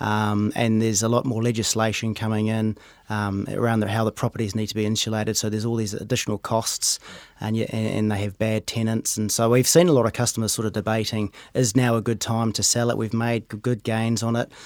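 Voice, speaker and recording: At a very fast pace, a man speaks at a medium pitch in a monotone, flat intonation, on a very clean recording with a silent background. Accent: New Zealand. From New Zealand, Rotorua. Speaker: wealth manager. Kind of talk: casual interview. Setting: studio.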